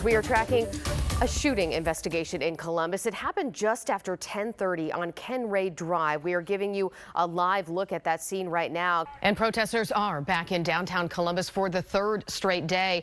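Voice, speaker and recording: Speaking in an American accent, a woman with a plain, everyday voice talks at a moderate pace and medium pitch with ordinary pitch variation. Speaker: television news anchor and reporter. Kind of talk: TV news anchor delivery.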